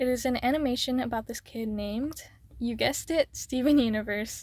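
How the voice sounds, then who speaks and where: Speech at a moderate pace on a very clean recording with a silent background. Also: woman. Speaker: YouTuber. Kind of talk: casual chat while drawing.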